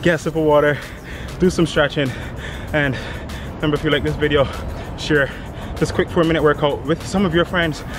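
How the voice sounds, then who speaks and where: Music plays in the background as a man talks at a fairly quick pace. The sound is dry with no echo. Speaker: fitness trainer. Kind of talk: workout tutorial and outro to camera. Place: garden. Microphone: camera far.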